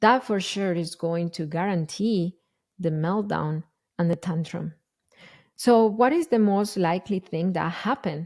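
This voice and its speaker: Strong Spanish accent at a fairly slow pace, with ordinary pitch variation, in a very clean recording over a silent background. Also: woman, medium pitch for a woman. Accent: thick Spanish. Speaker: parenting educator and podcast host. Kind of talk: podcast monologue. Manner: casual, with hesitations and self-corrections.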